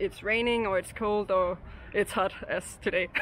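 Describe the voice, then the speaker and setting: A woman with a Danish accent speaks at a moderate pace and medium pitch, her intonation monotone and flat. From Denmark, Copenhagen. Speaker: local interviewee. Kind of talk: street interview. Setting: outdoors. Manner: hesitant, many fillers.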